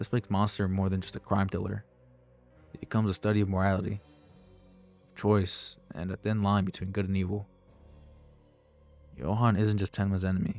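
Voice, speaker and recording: A man speaks at a fairly quick pace in a fairly low pitch, his intonation flat and monotone. His loudness swings widely, long pauses come often, and music plays in the background. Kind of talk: anime video essay narration.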